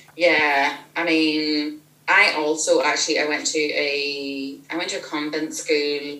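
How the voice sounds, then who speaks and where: A woman speaks very slowly in a flat monotone, her pitch very deep and low, with noticeable background noise. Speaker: author of novels. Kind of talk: casual interview.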